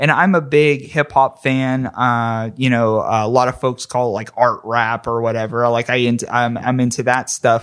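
A man in a normal speaking voice, medium in pitch, at a moderate pace with fairly even intonation and hardly any pauses. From western Pennsylvania, McKeesport near Pittsburgh. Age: 30s. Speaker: podcaster. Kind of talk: casual chat.

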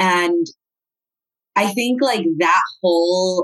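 In an American accent, a woman speaks with lively intonation at a fairly low pitch, the sound dry and close with no echo. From Southern California (Cerritos, LA/Orange County border). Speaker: nonprofit executive director, gender-violence advocate. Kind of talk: interview.

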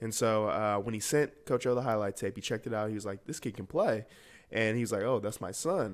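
In a very clean recording with a silent background, a man with an American accent uses a normal speaking voice at a medium pitch. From US South, Atlanta, Georgia. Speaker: youth football community worker and DJ. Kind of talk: interview.

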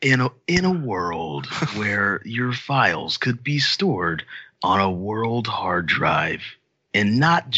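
A man's put-on character voice at medium pitch, delivered at a very slow pace. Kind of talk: dramatic, announcer.

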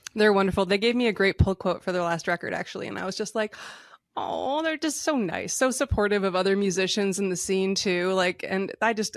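Using an ordinary speaking voice with an American accent, a woman talks at a fairly quick pace and a medium pitch with ordinary pitch variation. The sound is dry and close with no echo, over a quiet background. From rural Michigan. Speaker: country musician. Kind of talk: interview.

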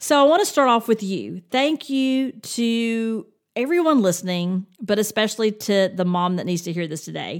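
A woman with a fairly high pitch speaks at a moderate pace with lively intonation. The recording is very clean, with a silent background. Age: 50s. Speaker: podcast host, attorney and parent. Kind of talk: solo podcast monologue. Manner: upbeat and animated.

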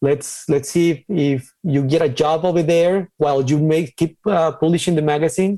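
A man with a Mexican accent, a fairly high pitch, a dark, mellow tone, fairly even intonation and a moderate pace. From Ciudad Juarez, Mexico. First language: Spanish. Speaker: designer and crypto artist. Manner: halting, hesitant with fillers.

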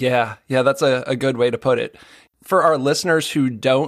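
In a very clean recording with a silent background, a man with a plain, everyday voice talks at a moderate pace, medium pitch and fairly even intonation. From Boston area, US. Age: 40s. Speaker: podcast host, personal chef. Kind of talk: interview conversation.

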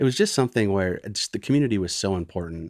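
An American accent on a very clean recording with a silent background, the sound dry and close with no echo. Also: man. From northern Michigan (Gaylord). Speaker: small business owner, former insurance executive. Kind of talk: interview conversation.

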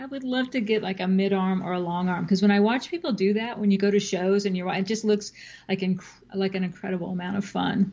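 A woman's very fast delivery at a medium pitch, somewhat breathy with a dark, mellow tone and fairly even intonation, over a quiet background. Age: 50s. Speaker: quilter, novelist and podcaster. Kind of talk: casual interview chat.

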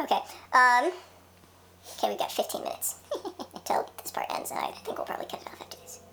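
A man whispers at a very fast pace, broken by long, frequent pauses, with big swings in loudness and noticeable background noise. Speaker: podcast co-host. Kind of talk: casual chat.

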